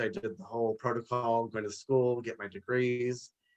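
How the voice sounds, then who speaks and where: A plain, everyday voice with an American accent at a moderate pace. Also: man. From Los Angeles, US. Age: 40s. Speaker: businessman and author. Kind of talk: live interview.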